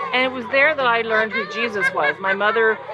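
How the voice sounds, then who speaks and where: A woman talks loudly in a high voice with lively intonation. Crowd noise fills the background, and the room echo is audible. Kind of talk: teaching talk. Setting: outdoors.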